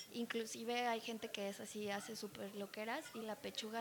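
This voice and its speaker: A woman's fairly high voice in monotone, flat intonation, over noticeable background noise. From Mexico. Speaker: bartender and mixologist. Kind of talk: casual chat.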